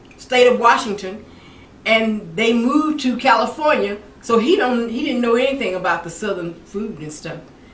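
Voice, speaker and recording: A woman with an American accent talks at a moderate pace with ordinary pitch variation, amid noticeable background noise and audible room echo. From Mississippi, US South. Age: 70s. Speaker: cooking channel host. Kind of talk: cooking tutorial with personal stories. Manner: casual, repetitive with frequent restarts.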